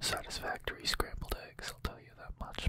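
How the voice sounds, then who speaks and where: A man whispering. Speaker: ASMR creator. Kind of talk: close-up whispered ASMR trigger words. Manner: whispered, close to the microphone. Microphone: studio mic.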